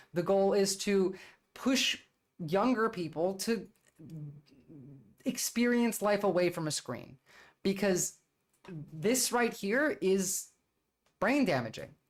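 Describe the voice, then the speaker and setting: At a very slow pace, with long, frequent pauses, the speaker talks in a New Jersey accent. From US, New Jersey. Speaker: political streamer. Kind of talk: livestream commentary. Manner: casual, filler-heavy.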